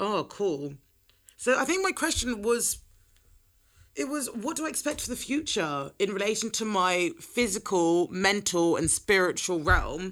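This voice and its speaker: A woman with an English accent at a fairly slow pace, her pitch swinging very widely, on a very clean recording with a silent background. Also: medium pitch for a woman. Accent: British (England). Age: 20s. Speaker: podcast host. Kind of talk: solo casual chat. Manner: animated.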